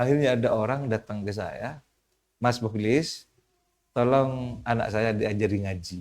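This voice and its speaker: Intonation carries ordinary pitch variation. Delivery is fairly slow. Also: man, medium pitch for a man. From Madura, East Java, Indonesia. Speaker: Islamic cleric and community leader. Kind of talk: podcast interview. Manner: halting.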